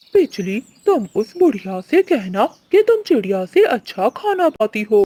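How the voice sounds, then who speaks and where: In a cartoonish character voice, the speaker talks at a fairly slow pace with a fairly high pitch and very wide pitch swings. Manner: bossy, mocking.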